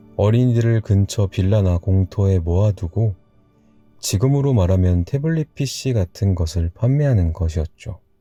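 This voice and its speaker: Music plays in the background as a man talks in a calm, soothing tone at a moderate pace, his intonation lively and the sound dry and close with no echo. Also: fairly low pitch for a man, very even loudness. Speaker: storyteller / ASMR narrator. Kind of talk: bedtime story reading, personal childhood anecdote. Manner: calm, soothing, relaxed.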